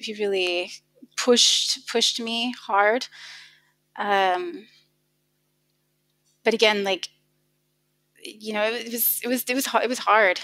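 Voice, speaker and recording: In a very clean recording with a silent background, a woman with an American accent speaks at a fairly slow pace. Her voice is fairly high, bright and sharp in tone, with ordinary pitch variation. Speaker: car designer. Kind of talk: podcast interview.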